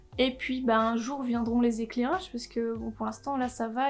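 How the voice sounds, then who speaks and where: High, fairly even intonation from a female speaker. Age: 20s. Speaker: YouTuber. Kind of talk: casual vlog introduction. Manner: casual, with frequent hesitations.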